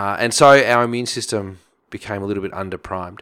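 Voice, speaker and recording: Here a man with an Australian accent talks at a fairly low pitch in a bright, sharp tone. His intonation stays fairly even, and the recording is very clean with a silent background. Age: 40s. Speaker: chiropractor and nutritionist. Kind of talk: interview.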